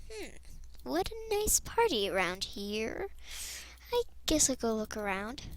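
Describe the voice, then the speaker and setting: A woman performs in a put-on character voice. She goes at a fairly slow pace with long, frequent pauses. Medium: machinima. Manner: playful, giggly.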